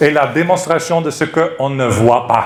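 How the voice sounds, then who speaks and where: The speaker has a non-native accent and a fairly slow pace. Noticeable background noise and audible room echo are present. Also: man. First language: not French (speaking French). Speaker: preacher. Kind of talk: sermon. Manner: halting.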